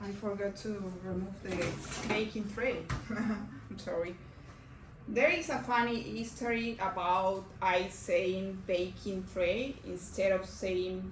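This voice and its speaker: A woman speaks very slowly with a Mexican accent, her pitch medium and its variation ordinary. The room echo is audible, and background noise is noticeable. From Mexico. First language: Spanish. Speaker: cooking instructor. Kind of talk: cooking class demonstration. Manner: hesitant, with fillers.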